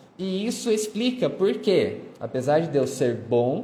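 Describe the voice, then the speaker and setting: A man talks at a very slow pace with lively intonation. Audible room echo fills the recording. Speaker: history teacher. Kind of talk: lecture. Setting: live stream.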